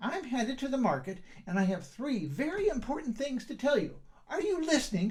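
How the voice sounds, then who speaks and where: A put-on character voice at a fairly high pitch swings very widely and moves at a fairly quick pace. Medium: read story. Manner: firm, no-nonsense.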